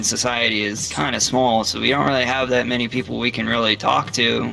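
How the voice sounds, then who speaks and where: Over noticeable background noise, a man with an American accent talks at a very fast pace with ordinary pitch variation. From US, military family. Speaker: soldier, VR player. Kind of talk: casual interview.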